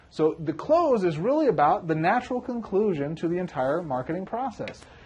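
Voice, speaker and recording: A man's high voice at a fairly quick pace, with very wide pitch swings and noticeable background noise. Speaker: MLM business coach. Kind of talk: tutorial. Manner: fast; animated.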